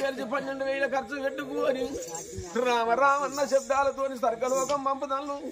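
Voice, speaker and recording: The speaker has a Telangana accent. Noticeable background noise runs underneath. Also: man. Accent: Telangana Telugu. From Telangana, India. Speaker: oggu katha folk storyteller. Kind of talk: traditional folk storytelling performance. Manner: emotional, lamenting.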